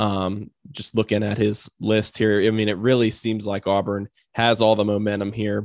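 Against a quiet background, a man speaks at a fairly low pitch in a flat monotone. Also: dry, close sound with no echo. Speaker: sports podcast host. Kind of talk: casual Q&A monologue. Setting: home recording. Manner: fast.

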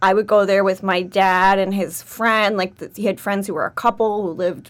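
In a plain, everyday voice, a woman speaks with an American accent. Her pitch is medium and her pace moderate. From New York City, Manhattan. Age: 30s. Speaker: MBA student. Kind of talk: casual chat.

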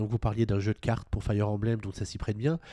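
A man with a dark, mellow tone talks at a very fast pace in a very clean recording with a silent background and a dry, close sound with no echo. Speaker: podcast host. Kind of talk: casual chat.

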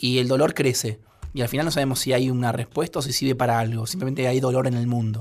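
His pitch is medium, with fairly even intonation. The man gets his words out at a very fast pace. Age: 30s. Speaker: writer and screenwriter. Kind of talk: radio interview.

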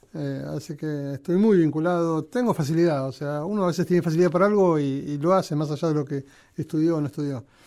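A man with a Rioplatense accent talks at a very fast pace, his fairly high voice dark and mellow with ordinary pitch variation. The recording is very clean with a silent background. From Argentina, Buenos Aires area. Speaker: railway museum director. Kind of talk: interview. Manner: halting.

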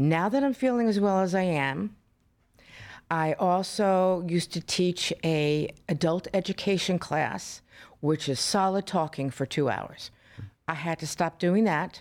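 In a very clean recording with a silent background, a woman with an American accent speaks in a normal speaking voice, fairly low in pitch, at a fairly slow pace with ordinary pitch variation. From Florida, US South. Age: 60s. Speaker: patient. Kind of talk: testimony. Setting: studio.

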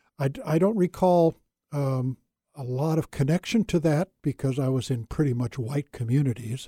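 A man with an American accent, his fairly high voice dark, mellow and somewhat breathy, at a moderate pace with ordinary pitch variation, in a dry, close sound with no echo. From California. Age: 70s. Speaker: retired pastor. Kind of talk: casual interview conversation.

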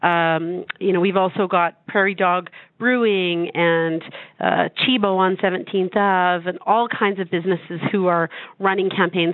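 A woman talks at a moderate pace in a medium pitch, with an ordinary speaking voice and ordinary pitch variation. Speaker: charity representative. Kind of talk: radio interview.

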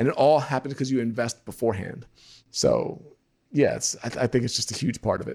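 A man with a medium-pitched, somewhat breathy voice talks at a very fast pace with fairly even intonation. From New York. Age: 30s. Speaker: photographer and business coach. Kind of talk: interview.

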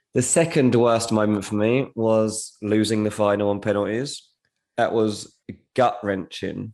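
An English accent is heard here. Delivery is fairly slow. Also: man. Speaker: football transfer journalist. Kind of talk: casual chat.

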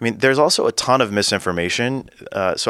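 Bright and sharp in tone, a man speaks at a fairly quick pace. The sound is dry and close with no echo, on a very clean recording with a silent background. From US West Coast, Central Valley of California. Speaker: political consultant. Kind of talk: casual interview.

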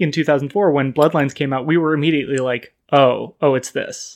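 A man with an American accent and an ordinary speaking voice talks at a moderate pace and fairly high pitch, with fairly even intonation. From US West Coast (Sacramento, California). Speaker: podcast guest, game fan. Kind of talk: casual chat.

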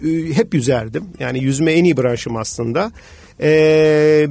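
A man with a fairly high pitch talks in a normal speaking voice. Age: 40s. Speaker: business executive and amateur triathlete. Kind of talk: radio interview.

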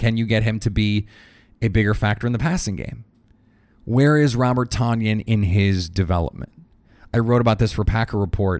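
A man's fairly low voice at a fairly quick pace, broken by long, frequent pauses, on a very clean recording with a silent background. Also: ordinary pitch variation. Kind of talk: sports commentary. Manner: animated play-by-play style, narrating the play as it unfolds.

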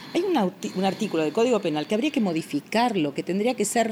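Her pitch climbs and drops very widely. The woman keeps up a fairly quick pace. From Argentina, Buenos Aires (Villa Crespo). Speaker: family lawyer. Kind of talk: interview. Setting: home.

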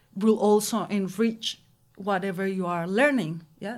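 A woman's medium-pitched voice with a Spanish accent, on a very clean recording with a silent background. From Mexico. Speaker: anthropology PhD student. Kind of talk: panel discussion.

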